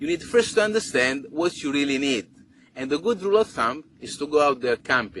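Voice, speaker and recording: A man with an Italian accent, fairly high-pitched, at a fairly quick pace, with very wide pitch swings. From Italy. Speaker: overlander and travel vlogger. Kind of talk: tutorial.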